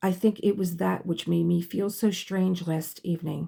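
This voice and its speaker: A female-sounding voice puts on a raspy character voice at a fairly low pitch for a woman. The pace is moderate. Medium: read story.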